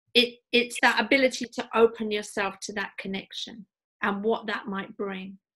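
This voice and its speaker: In a British accent, the speaker uses a bright, sharp tone at a moderate pace, with monotone, flat intonation and big swings in loudness. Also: woman, fairly high pitch for a woman. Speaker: podcast host. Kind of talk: podcast interview host talk.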